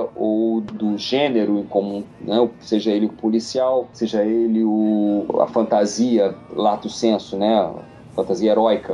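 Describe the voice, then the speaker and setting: Over noticeable background noise, a man at medium pitch speaks at a very slow pace. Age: 50s. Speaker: writer. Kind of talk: casual interview.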